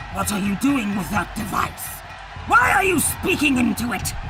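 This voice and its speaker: Someone performs a put-on character voice at a moderate pace amid loud background noise. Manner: stern, commanding.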